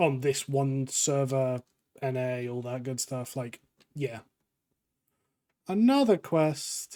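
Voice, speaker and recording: With an English accent, a man with a dark, mellow tone speaks at a very slow pace, with ordinary pitch variation and long, frequent pauses. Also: medium pitch for a man. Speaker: gaming YouTuber. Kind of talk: casual gameplay commentary.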